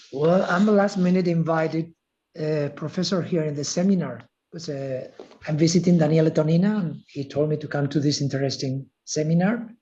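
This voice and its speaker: Fairly high in pitch yet dark and mellow in tone, a man with a Spanish accent speaks with fairly even intonation. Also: fairly quick pace. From Spain. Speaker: visiting professor, audience member. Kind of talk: audience question at seminar. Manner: halting, non-native phrasing.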